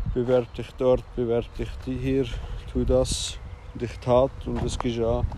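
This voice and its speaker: At a fairly slow pace, a man talks while noticeable background noise carries on. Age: 30s. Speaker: podcaster. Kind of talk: personal monologue. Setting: outdoors. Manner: halting.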